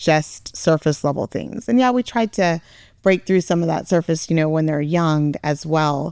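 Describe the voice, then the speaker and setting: A woman with a fairly low pitch and a dark, mellow tone speaks at a fairly slow pace, recorded with a dry, close sound and no echo. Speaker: parent, podcast co-guest. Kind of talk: podcast discussion. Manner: loud.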